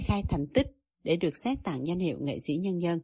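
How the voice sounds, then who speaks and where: An unremarkable speaking voice from a woman, medium in pitch with lively intonation, over a quiet background. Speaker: radio reporter. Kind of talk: scripted narration.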